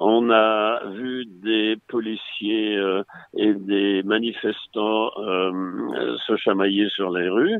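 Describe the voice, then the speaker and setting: A man with a fairly low pitch talks at a very slow pace. He keeps his intonation fairly even. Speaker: retired clinical psychologist. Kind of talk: interview.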